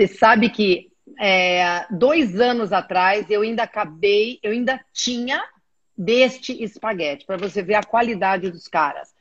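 Ordinary pitch variation and a fairly slow pace in an ordinary speaking voice. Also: woman, medium pitch for a woman. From Brazil. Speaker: aqua fitness instructor. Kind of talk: casual chat.

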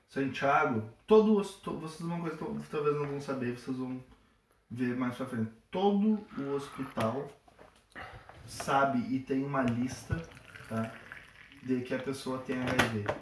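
A man talking at a very slow pace, with long, frequent pauses and lively intonation, amid audible room echo and noticeable background noise. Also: fairly high pitch for a man. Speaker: medical student, guest. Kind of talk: casual chat.

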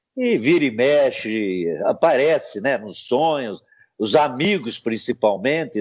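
Very slow speech from a man, with a quiet background. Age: 70s. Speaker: retired footballer. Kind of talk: interview.

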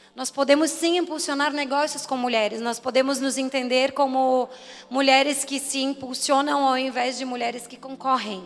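A woman with a high pitch and fairly even intonation talks at a moderate pace, her loudness swinging widely. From Florianópolis, Brazil. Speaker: entrepreneur, club co-founder. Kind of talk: event speech.

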